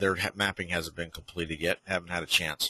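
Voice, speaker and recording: The man's voice has a bright, sharp tone and a dry, close sound with no echo. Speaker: software company owner giving a product demo. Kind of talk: live webinar tutorial. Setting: online webinar. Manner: casual, with many fillers; slow.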